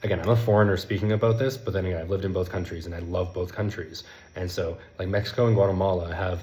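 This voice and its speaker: A man talks at a very fast pace in a very deep, low pitch with fairly even intonation. Audible room echo surrounds his voice. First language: not Spanish; Spanish is his third language. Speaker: language learning content creator. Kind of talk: casual vlog monologue.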